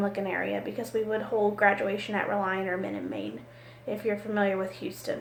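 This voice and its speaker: A woman speaks loudly. Audible room echo and noticeable background noise surround her. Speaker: college business office supervisor. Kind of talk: recorded class assignment monologue.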